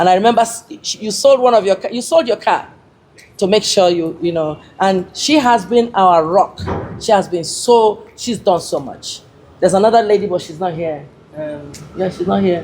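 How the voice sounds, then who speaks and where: This is an unremarkable speaking voice from a woman at a medium pitch. Her intonation is lively and her pace moderate. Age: 60s. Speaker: modelling agency founder. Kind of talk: speech to an audience.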